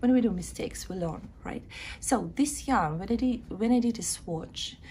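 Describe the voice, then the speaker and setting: A woman speaks with a Ukrainian accent. Her pace is moderate. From Ukraine. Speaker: knitting vlogger. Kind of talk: casual video chat, craft show-and-tell. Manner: halting, with filler sounds.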